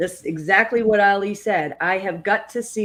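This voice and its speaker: A woman speaks with fairly even intonation in a New England accent. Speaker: network marketer, co-host. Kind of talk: casual discussion.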